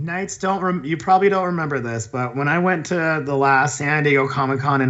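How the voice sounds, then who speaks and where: This man has an unremarkable speaking voice and moves along at a fairly quick pace. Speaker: podcast co-host. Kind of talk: casual chat.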